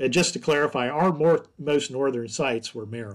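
A man with an American accent talks at a moderate pace, using an ordinary speaking voice with ordinary pitch variation. The recording is very clean, with a silent background. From US South, upstate South Carolina. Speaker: forest entomology professor. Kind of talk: interview.

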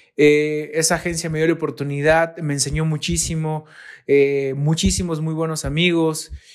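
Pitched fairly high, a man speaks at a moderate pace in a monotone, flat intonation. The recording is very clean, with a silent background. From Mexico, Veracruz. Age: 30s. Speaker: graphic designer. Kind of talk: recorded monologue.

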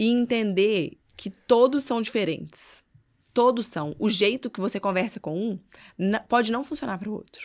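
A woman speaks at a moderate pace in an animated tone, with a fairly high pitch, ordinary pitch variation and big swings in loudness, in a very clean recording with a silent background. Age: 30s. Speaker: mother and social media influencer. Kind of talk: casual chat.

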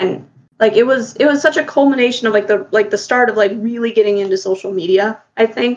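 A woman talks at a very fast pace in a fairly high pitch, with ordinary pitch variation. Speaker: podcast co-host. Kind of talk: casual chat. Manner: loud.

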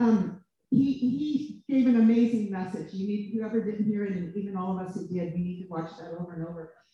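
A woman speaks at a fairly quick pace in a medium pitch, somewhat breathy with a dark, mellow tone. Her pitch varies in an ordinary way while her loudness swings widely. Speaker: minister. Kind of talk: prayer. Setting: stage with audience.

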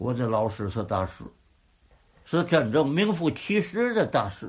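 A man with a fairly high pitch and vocal fry moves through very wide pitch swings at a fairly slow pace. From Tianjin. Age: old. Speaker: crosstalk comedian. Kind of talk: interview.

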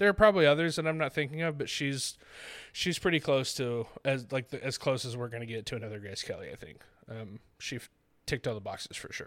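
A man talks at a very fast pace with lively intonation, a medium pitch, and big swings in loudness, on a very clean recording with a silent background. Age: 20s. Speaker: movie podcast host. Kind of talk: casual chat.

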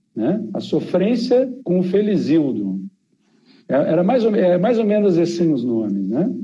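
This man has a high pitch with very wide pitch swings, a dark, mellow tone, very even loudness and a fairly slow pace, with audible room echo around him. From Rio Grande do Sul, southern Brazil. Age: 40s. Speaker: geographer and demographer, professor. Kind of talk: interview conversation.

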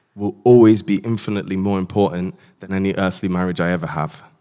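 With a plain, everyday voice, a man talks at a fairly quick pace with a fairly low pitch and ordinary pitch variation. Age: 20s. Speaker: doctor. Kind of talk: panel discussion.

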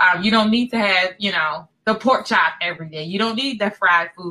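With an unremarkable speaking voice, a woman talks at a fairly quick pace in a medium pitch with ordinary pitch variation. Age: 40s. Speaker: podcast co-host, author. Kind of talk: casual chat.

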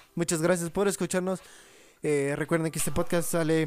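Music plays in the background as a man speaks in a high pitch with monotone, flat intonation. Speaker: podcast co-host. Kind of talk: casual chat.

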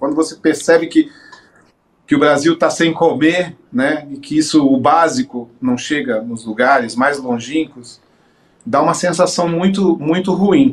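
A man's fairly high pitch at a fairly slow pace. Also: lively intonation. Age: 50s. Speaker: singer and guitarist. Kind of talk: interview. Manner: halting.

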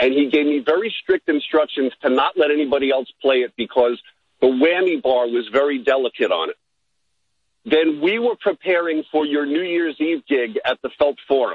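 A man talks in an ordinary speaking voice at a fairly high pitch. His pace is moderate and his pitch variation ordinary. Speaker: caller, musician. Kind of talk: casual chat. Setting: phone call.

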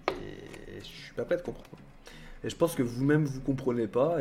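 A man's medium-pitched voice moves at a moderate pace with ordinary pitch variation and big swings in loudness. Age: 30s. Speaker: YouTuber and streamer. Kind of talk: casual livestream chat. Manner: hesitant with many fillers.

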